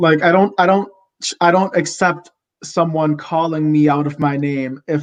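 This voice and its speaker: The man's voice sits fairly high in pitch, and his intonation is fairly even. He speaks at a moderate pace. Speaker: TikTok creator, guest. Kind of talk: casual chat. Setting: livestream video call. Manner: casual, filler-heavy.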